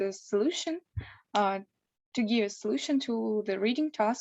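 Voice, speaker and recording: Over a quiet background, a woman with a Russian accent speaks at a fairly high pitch. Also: dry, close sound with no echo. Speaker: law student preparing for exam. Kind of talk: online interview. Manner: hesitant.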